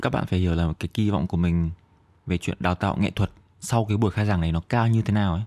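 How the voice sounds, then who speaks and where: A man with a Northern Vietnamese accent, very deep and low in pitch, with a dark, mellow tone, a fairly quick pace and a dry, close sound with no echo. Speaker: podcast host and comedian. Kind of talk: casual solo comedic monologue. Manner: fast toward the end of the episode.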